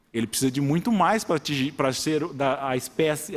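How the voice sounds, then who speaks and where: The speaker uses an interior São Paulo accent and keeps a moderate pace. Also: man. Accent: caipira interior. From rural São Paulo state, Brazil. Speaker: judge. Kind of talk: public hearing speech. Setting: city council chamber. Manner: halting, with many repetitions.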